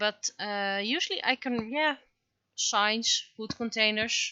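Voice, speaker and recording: A very slow pace in a Dutch accent, with ordinary pitch variation and big swings in loudness. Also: woman. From Netherlands. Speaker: webcomic artist and streamer. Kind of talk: casual livestream chat while drawing. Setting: livestream. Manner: halting, many fillers.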